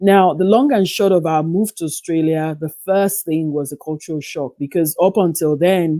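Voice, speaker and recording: With an American accent, this voice has a dark, mellow tone and ordinary pitch variation, moving at a moderate pace with hardly any pauses. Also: woman, fairly low pitch for a woman. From western Nigeria, Yoruba. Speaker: psychotherapist and writer. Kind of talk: interview.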